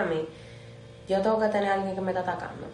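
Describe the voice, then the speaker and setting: A woman speaks at a medium pitch, with noticeable background noise and audible room echo around her. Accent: Dominican. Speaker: podcast co-host. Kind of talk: casual chat.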